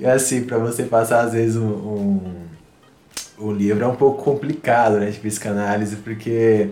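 At a moderate pace and with fairly even intonation, a man speaks amid audible room echo and noticeable background noise. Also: medium pitch for a man. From Northeast Brazil. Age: 30s. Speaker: psychoanalysis student and musician. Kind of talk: casual chat.

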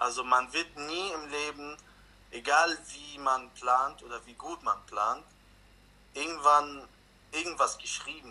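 Over noticeable background noise, a man speaks at a very slow pace with a fairly high pitch and fairly even intonation. His loudness swings a lot, and his pauses are long and frequent. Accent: Arabic. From Lebanon. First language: Arabic (speaking German). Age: 20s. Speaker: refugee interviewee. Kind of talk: interview.

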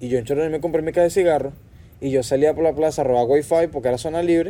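Speaking at a very fast pace with a Venezuelan accent, a man keeps a fairly high pitch and fairly even intonation. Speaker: podcast guest. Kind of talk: casual chat. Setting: outdoors on a patio.

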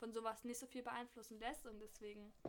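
Her voice fairly high, a woman speaks with monotone, flat intonation. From Berlin. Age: 20s. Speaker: fashion student and blogger. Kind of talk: casual chat.

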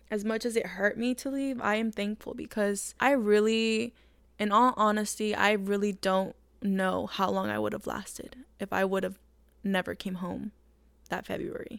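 A woman with a normal speaking voice at a medium pitch and a moderate pace. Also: very clean recording, silent background. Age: 20s. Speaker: podcaster. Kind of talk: personal monologue. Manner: casual, with fillers.

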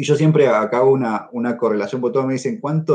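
Very fast speech in an Argentine accent comes through with a dark, mellow tone. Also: man. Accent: Argentine Spanish (Rioplatense). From Argentina. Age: 30s. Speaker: neurosurgeon. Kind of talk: interview. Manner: halting, with frequent fillers and repetitions.

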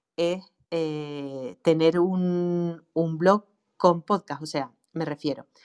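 The voice carries a strong Canarian accent, captured in a dry, close sound with no echo on a very clean recording with a silent background. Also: woman. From Canary Islands. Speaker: online marketing specialist for writers. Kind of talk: casual chat. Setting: live audio room.

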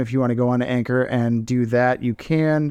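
A man with an American accent speaks in a normal speaking voice at a medium pitch, moderate pace, and fairly even intonation. The sound is dry and close with no echo, over a quiet background. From Tampa, Florida. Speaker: podcast host, tattoo artist. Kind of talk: sponsor plug; casual chat.

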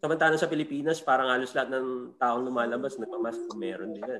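Very fast speech from a man with ordinary pitch variation. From Philippines. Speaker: comedian. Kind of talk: casual chat.

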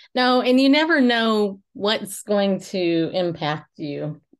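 Against a quiet background, a woman with an ordinary speaking voice talks at a medium pitch with lively intonation. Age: 50s. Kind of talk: casual chat.

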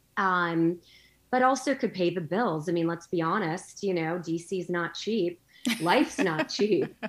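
A woman with an unremarkable speaking voice talks fairly slowly at a fairly low pitch, her intonation lively. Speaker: guest, entrepreneur and military spouse. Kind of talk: casual interview chat.

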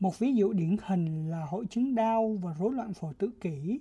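Somewhat breathy and dark and mellow in tone, a woman at medium pitch speaks with lively intonation. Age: 20s. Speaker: podcast co-host, NGO communications officer. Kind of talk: scripted educational podcast.

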